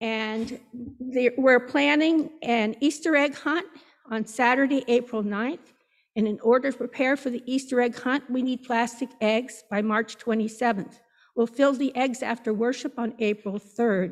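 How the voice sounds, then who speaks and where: Over a quiet background, a woman speaks at a fairly slow pace in a high pitch with ordinary pitch variation. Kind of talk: church announcements. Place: church.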